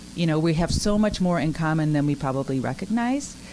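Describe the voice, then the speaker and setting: A woman with very deep, low pitch talks at a very fast pace with lively intonation. Noticeable background noise is present. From Japan. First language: Japanese. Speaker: retired army helicopter pilot, teacher. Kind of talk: interview. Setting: restaurant.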